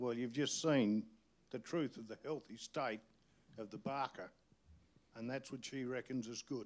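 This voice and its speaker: A man of medium pitch with an Australian accent, moderate pace, fairly even intonation and long, frequent pauses. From outback New South Wales. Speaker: community activist. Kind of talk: panel discussion. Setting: stage with audience. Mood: angry, indignant. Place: hall. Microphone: handheld.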